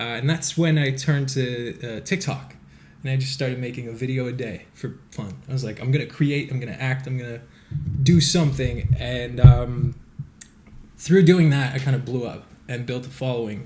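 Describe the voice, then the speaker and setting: There is audible room echo as a man speaks at medium pitch with big swings in loudness. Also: fairly even intonation, moderate pace. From Quebec, Montreal. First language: French. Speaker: actor and social media creator. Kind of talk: podcast interview.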